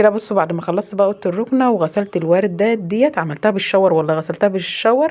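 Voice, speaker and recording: A woman with an Egyptian accent talks at a very fast pace. Her pitch is medium, with ordinary variation. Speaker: home vlogger, mother. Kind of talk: casual vlog narration.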